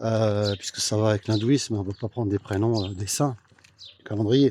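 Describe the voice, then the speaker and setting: A man with a fairly low pitch and fairly even intonation, over noticeable background noise. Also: moderate pace, dry, close sound with no echo. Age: 60s. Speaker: political commentator. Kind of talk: casual vlog monologue. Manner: hesitant, many fillers.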